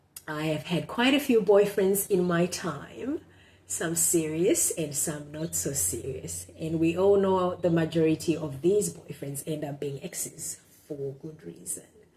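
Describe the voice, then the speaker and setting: A woman with a Zimbabwean accent, very deep and low in pitch, dark and mellow in tone, with vocal fry, big swings in loudness and a fairly slow pace. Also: ordinary pitch variation. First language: Shona. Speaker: blogger. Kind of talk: casual monologue; reading aloud and commentary. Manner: halting, many fillers.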